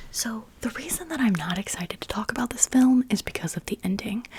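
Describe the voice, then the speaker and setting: Over background noise that is easy to notice, the words come out as a whisper. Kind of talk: whispered ASMR chat. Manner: whispered.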